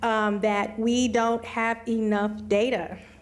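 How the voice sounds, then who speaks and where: Delivered at a very slow pace, the words come in an American accent. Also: woman. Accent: occasional Missouri twang. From Missouri. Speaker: computer science educator and researcher. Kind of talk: panel discussion. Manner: conversational with many fillers.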